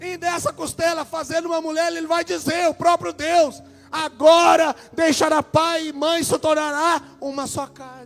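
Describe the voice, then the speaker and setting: A man speaks at an extremely high pitch, with a Minas Gerais accent and a fairly slow pace. His intonation is flat and monotone, with hardly any pauses and big swings in loudness. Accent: mineiro. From Brazil, Minas Gerais. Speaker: preacher. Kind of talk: sermon.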